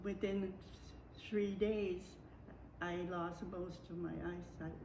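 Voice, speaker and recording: A woman at a very slow pace, with long, frequent pauses and noticeable background noise. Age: 80s+. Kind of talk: interview answer.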